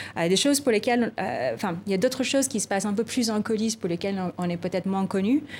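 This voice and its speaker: Lively intonation comes through in a non-native accent. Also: woman. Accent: foreign accent in French. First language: not French (speaking French). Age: 30s. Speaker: tech policy director. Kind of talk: TV interview. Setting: TV studio. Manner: hesitant, many repeated words.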